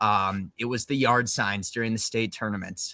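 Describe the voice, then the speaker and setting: A man speaks at a medium pitch in a bright, sharp tone. The recording is very clean, silent in the background, and dry and close with no echo. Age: about 30. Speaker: podcast host, former college athlete. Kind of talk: casual chat. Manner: filler-heavy.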